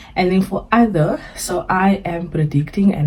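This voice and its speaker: With a South African accent, a woman speaks using lively intonation. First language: Afrikaans. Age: 20s. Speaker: personal finance vlogger. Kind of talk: budgeting tutorial. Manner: casual, hesitant with fillers.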